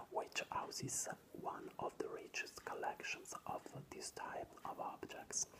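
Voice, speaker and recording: Whispering at a fairly slow pace, a speaker is heard over noticeable background noise. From Italy. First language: Italian. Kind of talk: ASMR whispered reading of an art book. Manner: whispered.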